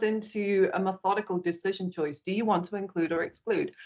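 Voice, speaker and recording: A woman with a British accent speaks at medium pitch and a moderate pace. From Britain. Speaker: corporate accessibility executive. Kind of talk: interview.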